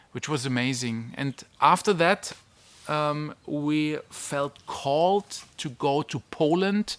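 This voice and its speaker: A man with a German accent and a fairly high pitch talks at a very slow pace. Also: ordinary pitch variation. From Germany. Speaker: online business mentor and family vlogger. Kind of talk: casual vlog talk. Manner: halting, with fillers and restarts.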